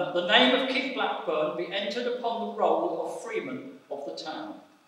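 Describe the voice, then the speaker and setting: At a moderate pace, a man with a high pitch makes very wide pitch swings, and strong room echo surrounds his voice. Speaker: council official reading a resolution. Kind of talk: formal ceremonial reading. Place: church. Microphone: podium.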